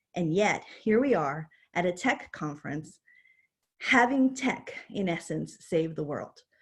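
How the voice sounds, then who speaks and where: Somewhat breathy, a woman speaks at a fairly slow pace and a fairly low pitch, her pitch swinging very widely. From New York City. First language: not English. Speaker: university dean. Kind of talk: keynote talk. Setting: virtual conference.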